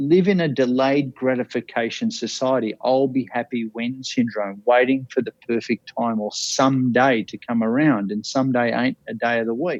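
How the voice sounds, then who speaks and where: With an Australian accent, a man speaks at a medium pitch and moderate pace in an energetic, passionate tone, with ordinary pitch variation and hardly any pauses. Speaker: life coach, bucket list speaker. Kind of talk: podcast interview answer.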